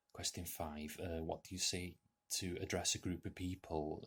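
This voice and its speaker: Very deep and low in pitch, a man speaks with a North Welsh accent. He keeps a moderate pace, his voice somewhat breathy. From North Wales. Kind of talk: casual talk to camera.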